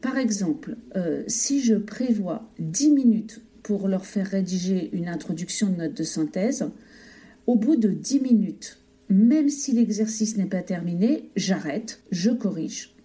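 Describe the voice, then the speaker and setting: Somewhat breathy and dark, mellow in tone, the voice moves at a fairly slow pace with lively intonation. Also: woman, medium pitch for a woman. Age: 50s. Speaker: teacher. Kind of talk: testimony.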